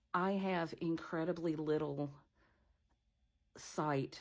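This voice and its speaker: On a very clean recording with a silent background, a woman speaks with fairly even intonation. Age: 60s. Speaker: blind vlogger. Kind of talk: casual vlog monologue. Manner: halting, with many fillers.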